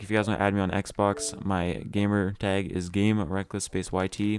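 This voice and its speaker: Fairly even intonation marks this man's fairly low voice. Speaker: gaming youtuber. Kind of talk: gameplay tutorial; casual chat. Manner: stumbling over words.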